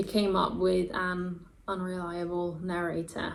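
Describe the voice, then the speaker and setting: The speaker is a woman. Her voice carries an audible room echo. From Denmark. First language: Danish. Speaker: booktuber. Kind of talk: casual vlog talk to camera. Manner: animated.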